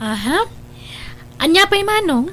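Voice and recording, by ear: Using a put-on character voice, a woman speaks slowly at an extremely high pitch with a fairly bright tone and big pitch swings.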